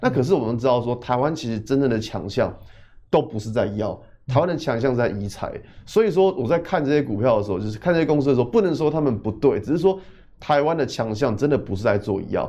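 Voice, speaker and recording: A man speaks at a very fast pace in a medium pitch. His intonation is lively. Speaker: technical analysis expert. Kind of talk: financial talk show, studio discussion.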